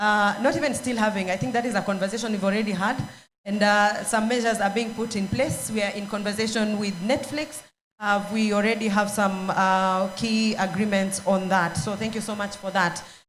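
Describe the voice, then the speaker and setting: Over background music and audible room echo, a woman talks at a fairly quick pace. Her medium pitch holds to a fairly even intonation. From Kenya. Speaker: panel moderator. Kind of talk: panel discussion. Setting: stage with audience. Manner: hesitant, many fillers.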